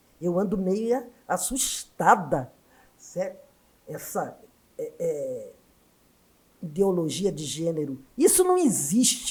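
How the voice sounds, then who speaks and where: A woman speaks very slowly in a somewhat breathy voice, with very wide pitch swings, big swings in loudness, and long, frequent pauses. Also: medium pitch for a woman. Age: 70s. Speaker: education scholar and former union activist. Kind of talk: podcast interview.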